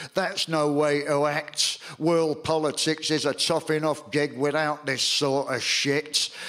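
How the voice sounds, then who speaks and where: In a Salford accent, a man talks at a very slow pace in a fairly high pitch. His intonation is monotone and flat, and his loudness very even. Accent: Salford, northern English. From Salford, England. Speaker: performance poet. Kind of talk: poetry reading. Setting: live theatre audience. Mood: wry, humorous. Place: home room.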